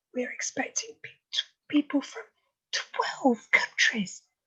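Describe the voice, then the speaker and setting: A woman is shouting. She keeps a fairly slow pace. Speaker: club president. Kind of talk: meeting opening remarks. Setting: video call. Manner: loud, shouting.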